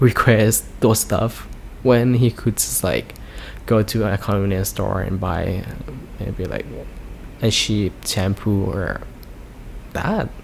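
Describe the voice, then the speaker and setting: A man with a Thai accent, at a very slow pace, with long, frequent pauses. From Thailand. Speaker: YouTuber. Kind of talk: casual storytime vlog. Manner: halting, many fillers.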